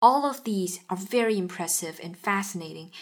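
A woman speaks with a Chinese accent at medium pitch and a moderate pace. The recording is very clean, with a silent background. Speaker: podcast host. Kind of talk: interview.

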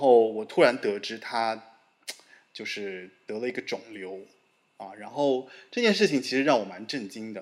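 A man uses an ordinary speaking voice at a moderate pace and medium pitch, with ordinary pitch variation and big swings in loudness. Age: middle-aged. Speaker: podcast host. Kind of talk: casual interview conversation.

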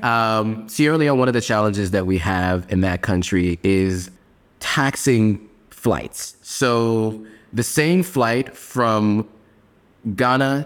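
An ordinary speaking voice from a man with an American accent, fairly low in pitch, with ordinary pitch variation. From US Northeast (New York and Pennsylvania). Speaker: advertising strategist. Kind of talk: interview.

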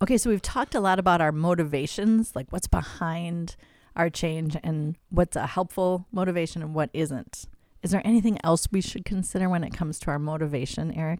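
A woman's fairly low, unremarkable speaking voice at a fairly quick pace, in a very clean recording with a silent background. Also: ordinary pitch variation. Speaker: podcast host. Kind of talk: casual faith-based discussion.

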